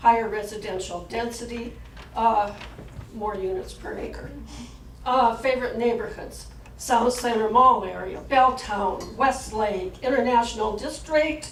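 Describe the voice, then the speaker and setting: A woman with a fairly high voice talks at a fairly slow pace, her loudness swinging widely. Audible room echo and noticeable background noise fill the recording. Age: 70s. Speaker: community workshop participant. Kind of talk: group report-back at public meeting. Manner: halting.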